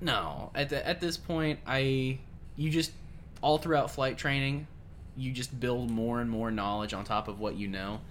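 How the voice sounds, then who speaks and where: A man with an unremarkable speaking voice talks at a fairly slow pace, medium in pitch with ordinary pitch variation. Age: 20s. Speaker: helicopter pilot and flight instructor. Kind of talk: casual chat.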